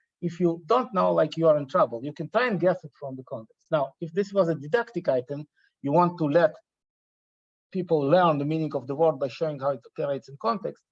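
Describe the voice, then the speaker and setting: Talking at a very fast pace, a man shows big swings in loudness. The sound is dry and close, with no echo. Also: fairly high pitch for a man, ordinary pitch variation. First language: not English, not Hebrew. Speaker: computational linguistics researcher. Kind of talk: academic talk. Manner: halting, with repetitions.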